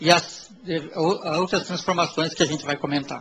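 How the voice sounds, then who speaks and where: A man with a high-pitched voice is heard over noticeable background noise. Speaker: diving operators' representative. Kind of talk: presentation with slides.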